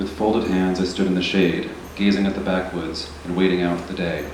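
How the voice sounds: A soft-spoken man with a low pitch and a slightly mellow tone talks at a moderate pace, with audible room echo.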